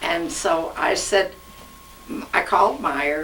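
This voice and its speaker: With audible room echo and noticeable background noise, a woman talks at a fairly low pitch. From Ukraine, raised in Kansas City, Missouri. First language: Russian. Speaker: interviewee, garment company co-founder's widow. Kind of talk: oral history interview. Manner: halting.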